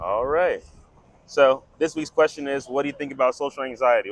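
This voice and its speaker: A man with an American accent speaks at a fairly quick pace and a fairly high pitch, in an unremarkable speaking voice. The sound is dry and close with no echo, and his intonation stays fairly even. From Germantown, Philadelphia. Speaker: street interviewer. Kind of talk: casual talk to camera.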